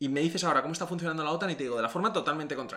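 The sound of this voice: A man talks at a very fast pace with a fairly high pitch. His tone is fairly bright, with ordinary pitch variation.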